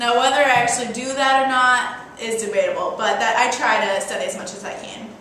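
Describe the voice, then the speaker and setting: A woman talks at a fairly quick pace with a high pitch and fairly even intonation, leaving hardly any pauses. Her loudness swings widely, and noticeable background noise runs underneath. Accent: American. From US Midwest, Iowa. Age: 20s. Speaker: nursing student. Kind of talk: interview.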